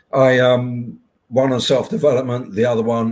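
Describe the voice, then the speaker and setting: Here a man speaks with a British accent. His pace is moderate. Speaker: hypnotherapist and podcast host. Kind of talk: interview conversation. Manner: halting.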